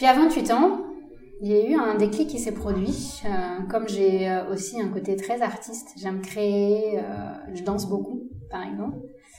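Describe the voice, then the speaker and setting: A woman speaks at a fairly slow pace and a medium pitch, with ordinary pitch variation and long, frequent pauses, over noticeable background noise and audible room echo. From India. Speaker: doctor. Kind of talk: interview.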